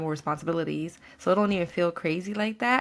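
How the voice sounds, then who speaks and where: In a plain, everyday voice with an American accent and ordinary pitch variation, the speaker is heard on a very clean recording with a silent background. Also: woman. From New York. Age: 30s. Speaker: podcast guest, coworker. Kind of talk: casual chat.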